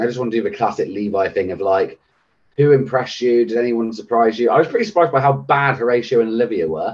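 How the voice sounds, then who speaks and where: A man speaks at a very fast pace and medium pitch. His intonation is lively. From Britain. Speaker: podcast co-host. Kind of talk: casual chat.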